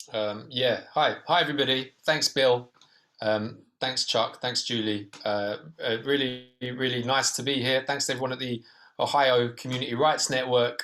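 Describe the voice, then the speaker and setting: A man with a British accent, medium pitch and a bright, sharp tone, at a moderate pace with fairly even intonation. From Britain. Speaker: documentary filmmaker. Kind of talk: Q&A panel discussion. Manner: hesitant, many fillers.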